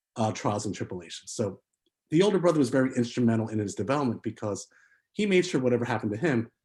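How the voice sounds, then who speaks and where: Somewhat breathy, a man speaks at a medium pitch with lively intonation. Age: 40s. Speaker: filmmaker. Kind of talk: interview. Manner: halting, many fillers.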